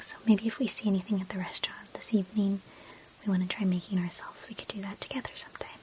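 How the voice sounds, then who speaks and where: The speech is soft-spoken and very fast. Noticeable background noise runs underneath. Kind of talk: ASMR personal attention role play. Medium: role play.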